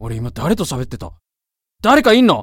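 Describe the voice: Putting on a character voice, a woman speaks at an extremely low pitch with big pitch swings. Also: moderate pace.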